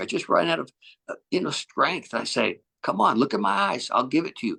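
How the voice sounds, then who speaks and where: A man with a fairly high pitch and a bright, sharp tone talks at a moderate pace, with vocal fry. The sound is dry and close with no echo, over a quiet background. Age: 70s. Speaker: author and resilience coach. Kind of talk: interview. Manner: animated.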